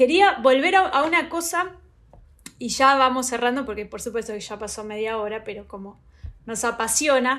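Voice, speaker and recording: Speaking at a moderate pace in a Rioplatense accent, a woman has a high pitch and a bright, sharp tone. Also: lively intonation. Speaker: podcast host, researcher. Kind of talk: interview.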